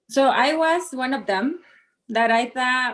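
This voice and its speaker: With a Spanish accent, a woman speaks very slowly at a high pitch with ordinary pitch variation. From Mexico. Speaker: model and coach. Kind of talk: interview. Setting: live stream.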